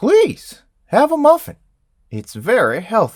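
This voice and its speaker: A fairly slow, put-on character voice from a man. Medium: actual play. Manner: awkward, fumbling.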